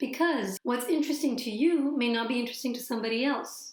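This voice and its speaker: A woman talks in a high pitch while noticeable background noise continues around her. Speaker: storytelling coach and YouTuber. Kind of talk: tutorial.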